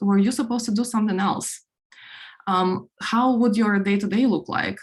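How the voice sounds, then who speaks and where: A somewhat breathy woman's voice with a Ukrainian accent, medium in pitch, with ordinary pitch variation and a fairly quick pace. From Ukraine. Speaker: product executive, conference speaker. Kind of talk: conference talk. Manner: many filler words, halting.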